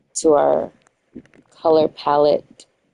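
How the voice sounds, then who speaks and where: A woman with a New York accent in a dry, close sound with no echo. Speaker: gaming streamer. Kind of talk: casual live-stream commentary. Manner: chatty, thinking aloud.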